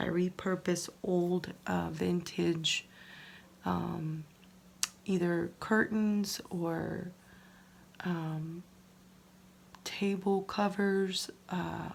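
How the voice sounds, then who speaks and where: A soft-spoken woman talks at a very slow pace, leaving long, frequent pauses. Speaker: crafting YouTuber. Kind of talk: casual tutorial. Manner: soft-spoken, low volume; hesitant, many fillers.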